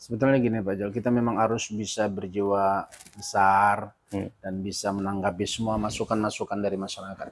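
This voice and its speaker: Hardly pausing, a man talks at a fairly quick pace in a fairly low pitch with monotone, flat intonation. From North Sumatra, Indonesia (Asahan/Batubara); North Sumatra, Indonesia. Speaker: local politician and former health worker; local politician. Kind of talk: interview. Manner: halting with many fillers. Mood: relaxed, reflective storytelling. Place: home room. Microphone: lapel.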